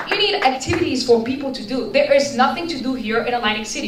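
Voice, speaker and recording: Over noticeable background noise and audible room echo, a woman talks at a fairly quick pace in a high voice with ordinary pitch variation. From Bulgaria. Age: 20s. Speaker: resident speaking at public forum. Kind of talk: public comment. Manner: halting.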